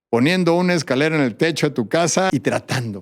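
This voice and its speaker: An unremarkable speaking voice with lively intonation and a fairly quick pace, on a very clean recording with a silent background. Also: man. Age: 60s. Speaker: endurance athlete and mountaineer. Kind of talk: interview.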